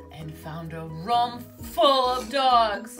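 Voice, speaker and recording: The speaker has an American accent. Music plays in the background. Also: woman. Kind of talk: children's book read-aloud.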